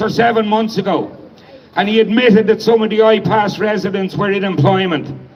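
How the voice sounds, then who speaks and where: With an Irish accent, a man talks at a fairly quick pace in a high pitch, his intonation fairly even. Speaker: protest organiser and speaker. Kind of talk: protest speech. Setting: outdoor protest crowd.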